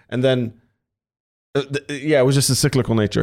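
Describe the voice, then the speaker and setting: On a very clean recording with a silent background, a man talks at a medium pitch with ordinary pitch variation in an ordinary speaking voice. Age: 30s. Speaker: podcast host and streamer. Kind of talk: casual chat.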